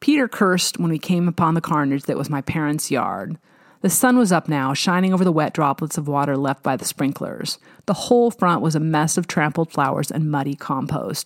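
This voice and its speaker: A woman's very deep, low voice with an American accent and ordinary pitch variation, on a very clean recording with a silent background and a dry, close sound with no echo. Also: fairly quick pace. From US Pacific Northwest (Snohomish, Washington). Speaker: podcast host and author narrating her own novel. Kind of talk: reading aloud fiction.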